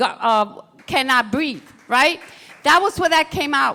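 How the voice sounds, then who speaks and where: A woman speaks in a raised, projected voice with an American accent. Her pitch is high, and her tone is bright and sharp. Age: 60s. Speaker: former activist, panelist. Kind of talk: panel discussion.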